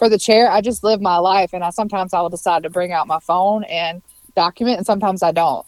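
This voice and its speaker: Delivered with a Southern US accent, the voice shows ordinary pitch variation in a dry, close sound with no echo. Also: woman. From Mississippi. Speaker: food and social media blogger. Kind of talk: casual interview.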